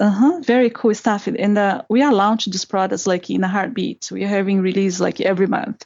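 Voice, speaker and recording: A woman with a Portuguese accent, at a fairly quick pace with hardly any pauses and ordinary pitch variation. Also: medium pitch for a woman. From Brazil. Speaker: product marketing manager. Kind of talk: interview.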